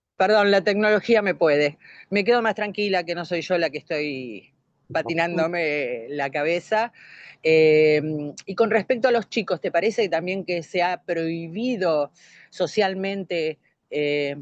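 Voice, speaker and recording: In a dry, close sound with no echo, a woman with a normal speaking voice talks at a fairly slow pace and fairly low pitch, her intonation lively. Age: 60s. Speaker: course participant. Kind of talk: online class discussion.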